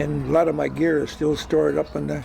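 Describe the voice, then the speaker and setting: A man's moderately paced voice is accompanied by music in the background. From Gig Harbor, Washington, US Pacific Northwest. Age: 90s. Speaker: retired commercial fisherman and former mayor. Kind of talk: oral history interview. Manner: halting, many fillers and repetitions.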